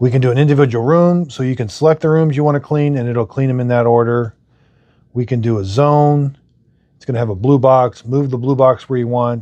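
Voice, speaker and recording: Fairly quick and at a medium pitch, a man speaks with fairly even intonation while his loudness swings widely. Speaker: product reviewer. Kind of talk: tutorial. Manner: fast; casual.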